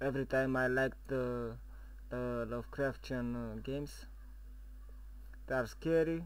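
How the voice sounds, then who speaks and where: Audible room echo surrounds fairly slow speech broken by long, frequent pauses. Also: man. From Romania. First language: Romanian. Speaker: gaming YouTuber. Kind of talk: gameplay commentary. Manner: halting, many fillers.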